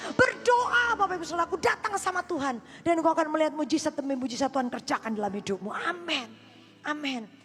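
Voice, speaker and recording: A loud voice races at a very fast pace in an animated tone, with very wide pitch swings and noticeable background noise. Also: woman, high pitch for a woman. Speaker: pastor. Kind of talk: sermon.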